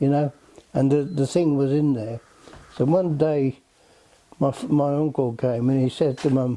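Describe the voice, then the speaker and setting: A man's fairly high, fairly evenly intoned voice at a moderate pace, very even loudness, long and frequent pauses, and noticeable background noise. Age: 80s+. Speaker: islander interviewee. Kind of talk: casual interview. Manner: halting.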